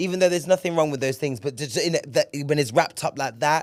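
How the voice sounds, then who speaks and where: Recorded very cleanly against a silent background, a man speaks in a southern England accent. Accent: British English, southern England. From England, Bristol. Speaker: podcast host. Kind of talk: casual solo podcast monologue. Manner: animated, frequent repetitions and hesitations.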